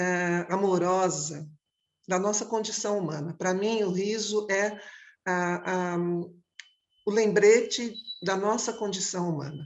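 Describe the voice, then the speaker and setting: At a very slow pace with long, frequent pauses, a woman speaks at a medium pitch with fairly even intonation. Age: 60s. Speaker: clown and theatre director. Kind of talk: panel discussion. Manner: halting.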